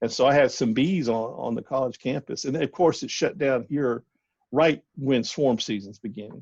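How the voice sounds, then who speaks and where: At a moderate pace and medium pitch, a man speaks with a Southern US accent and ordinary pitch variation in a dry, close sound with no echo and a quiet background. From US South. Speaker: bee scientist. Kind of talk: casual interview. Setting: phone call.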